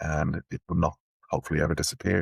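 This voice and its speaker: A somewhat breathy man speaks at a fairly quick pace with an Irish accent. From Ireland, Dublin. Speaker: technology executive. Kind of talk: interview. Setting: podcast.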